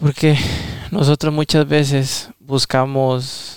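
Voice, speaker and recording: The sound is close and dry, without echo. The voice belongs to a man. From Costa Rica, San José. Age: 20s. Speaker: young churchgoer. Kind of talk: prayer.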